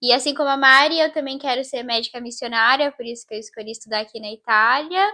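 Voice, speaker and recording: A woman speaks with a high pitch and a bright, sharp tone. Her pitch moves with ordinary variation. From Brazil, interior of São Paulo state. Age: 20s. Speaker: medical student. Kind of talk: casual chat.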